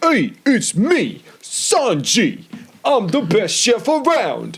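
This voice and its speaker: In a put-on character voice with a Brooklyn accent, a man speaks at an extremely high pitch and a very slow pace. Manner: boastful.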